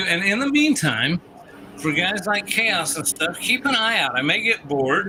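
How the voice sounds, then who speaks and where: A man's raised, projected voice with very wide pitch swings over noticeable background noise. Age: 60s. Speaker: pinball tournament organizer on gaming stream. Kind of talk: casual chat. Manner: casual, rambling.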